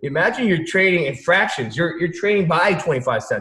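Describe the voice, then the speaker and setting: A man speaks at a high pitch. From Vietnam, raised in US. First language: Vietnamese. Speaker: stock trader. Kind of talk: casual chat. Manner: animated.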